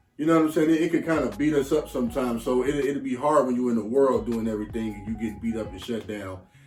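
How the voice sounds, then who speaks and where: Over noticeable background noise, a man with a medium pitch and ordinary pitch variation talks at a very fast pace with hardly any pauses. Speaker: relationship podcast co-host. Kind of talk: casual chat. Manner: casual, halting with fillers.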